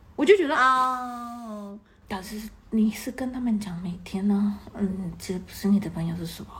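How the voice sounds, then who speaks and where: A woman at medium pitch and moderate pace, with big swings in loudness and noticeable background noise. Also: ordinary pitch variation. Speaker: podcast guest, expat. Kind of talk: casual chat. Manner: hesitant, many fillers.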